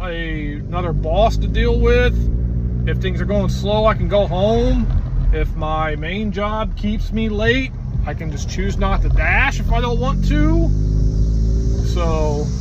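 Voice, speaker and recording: Against loud background noise, in a dry sound with no echo, a man speaks at a very slow pace with long, frequent pauses. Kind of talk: casual vlog chat. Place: car. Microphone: phone near.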